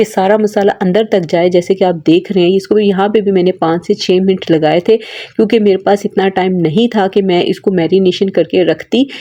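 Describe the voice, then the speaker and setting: A woman's medium-pitched voice with a dark, mellow tone, a moderate pace and fairly even intonation. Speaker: cooking channel host. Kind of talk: cooking tutorial.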